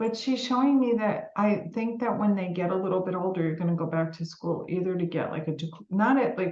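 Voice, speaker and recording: With a New York accent, a woman speaks fairly quickly at a medium pitch, her pitch varying in an ordinary way. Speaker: psychic medium. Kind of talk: live psychic reading. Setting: live stream video meeting. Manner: warm, informal, with fillers.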